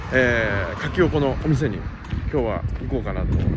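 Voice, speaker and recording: Loud background noise is present, while the voice itself sounds dry with no echo. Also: man. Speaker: vlogger. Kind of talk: casual vlog chat. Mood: cheerful, looking forward. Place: street. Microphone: phone near.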